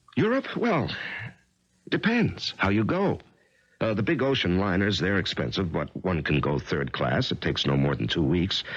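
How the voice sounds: A man's low, slightly husky put-on character voice with big pitch swings. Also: moderate pace.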